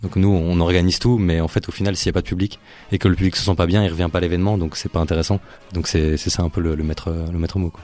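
A man with a very deep, low pitch, speaking at a very fast pace with fairly even intonation. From Brussels, Belgium. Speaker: event producer, festival organiser. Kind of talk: casual radio interview.

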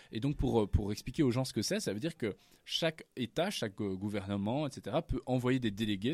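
A man with an ordinary speaking voice talks at a moderate pace, medium in pitch with ordinary variation. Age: 20s. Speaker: climate activist and student. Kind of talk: radio interview.

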